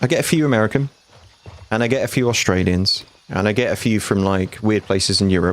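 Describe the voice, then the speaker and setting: A man in a British accent talks at a very fast pace. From UK. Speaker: gaming streamer. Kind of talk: live gameplay stream commentary. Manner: casual, chatty.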